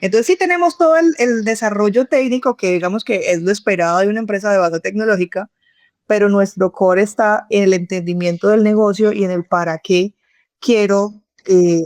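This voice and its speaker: A woman with a Cali accent talks at medium pitch with ordinary pitch variation and very even loudness. The sound is dry and close with no echo against a quiet background. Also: moderate pace. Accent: Cali (caleño) Colombian. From Colombia, Cali. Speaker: tech company CEO and co-founder. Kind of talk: podcast interview.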